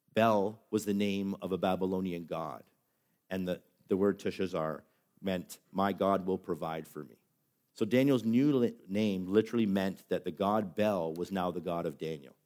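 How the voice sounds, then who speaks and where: Very deep and low, the man's voice has ordinary pitch variation on a very clean recording with a silent background. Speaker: pastor. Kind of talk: sermon. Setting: church. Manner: fast.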